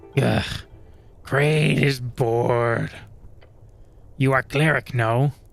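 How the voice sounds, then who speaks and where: Long, frequent pauses break up a put-on character voice. The pace is very slow. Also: man, medium pitch for a man. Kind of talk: broken speech. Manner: bored.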